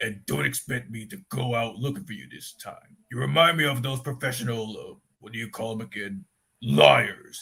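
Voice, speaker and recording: Using a put-on character voice, a man talks in a raspy, medium-pitched tone. His intonation is lively and his pace moderate. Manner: bossy, gruff.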